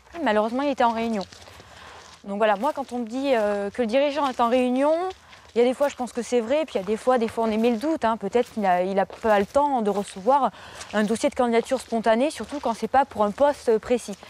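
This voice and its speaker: The speaker moves at a fairly quick pace with ordinary pitch variation. Noticeable background noise is present. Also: woman, fairly high pitch for a woman. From France, Dordogne. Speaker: job seeker, young graduate. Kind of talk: documentary interview, casual. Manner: hesitant, many fillers.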